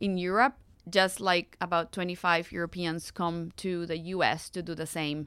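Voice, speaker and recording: A woman's fairly low-pitched voice with a Spanish accent and fairly even intonation. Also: moderate pace, very clean recording, silent background. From Costa Rica. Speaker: nonprofit executive director. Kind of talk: interview.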